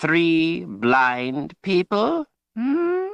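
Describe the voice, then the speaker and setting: Over a quiet background, a man puts on a raspy character voice that swings very widely in pitch. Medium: read story. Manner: archaic folksy grammar, cryptic.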